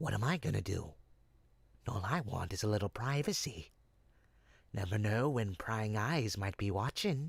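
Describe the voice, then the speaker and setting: A man uses a put-on character voice with a fairly low pitch at a moderate pace, leaving long, frequent pauses. The recording is very clean with a silent background. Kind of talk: audio roleplay. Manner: smooth-talking, persuasive.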